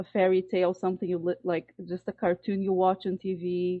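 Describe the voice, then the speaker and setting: In a Portuguese accent, this woman is talking. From Brazil. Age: 40s. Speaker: fitness program participant. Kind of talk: group discussion testimony.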